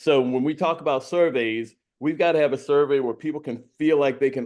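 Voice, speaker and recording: A man's voice with ordinary pitch variation. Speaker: school board candidate. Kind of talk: candidate forum answers. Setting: video call. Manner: loud; animated.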